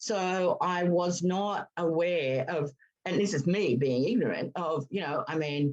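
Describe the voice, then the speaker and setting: With an Australian accent, a woman speaks fairly slowly in a fairly low voice with lively intonation. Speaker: veterinary behaviourist. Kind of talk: casual chat.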